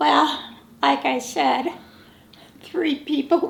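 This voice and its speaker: Over noticeable background noise, a woman with an American accent speaks at a very slow pace. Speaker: grandparent interviewee. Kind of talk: family oral history interview.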